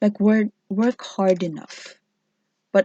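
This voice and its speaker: Speaking at a moderate pace, a woman with a non-native accent has a dark, mellow tone. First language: not English. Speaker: tarot reader. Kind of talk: tarot reading video. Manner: halting.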